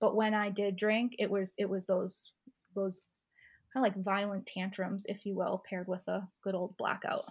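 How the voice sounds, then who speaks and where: Somewhat breathy and at a medium pitch, a woman speaks in a monotone, flat intonation over a quiet background. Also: moderate pace. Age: 30s. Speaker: sober lifestyle coach. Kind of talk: casual interview.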